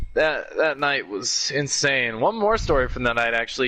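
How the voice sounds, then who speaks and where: A man with lively intonation at a fairly slow pace, amid noticeable background noise. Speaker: podcast host. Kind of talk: casual chat.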